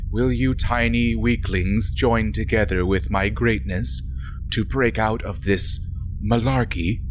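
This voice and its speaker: Over loud background noise, a man does a put-on character voice at a fairly slow pace. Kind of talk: comic overacting. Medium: actual play. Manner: pompous, grandiose, defiant.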